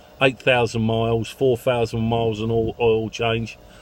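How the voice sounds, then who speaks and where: A man with a London accent talks at a medium pitch over noticeable background noise. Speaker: taxi owner vlogger. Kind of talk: casual vlog monologue. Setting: in a car. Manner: halting, with many fillers.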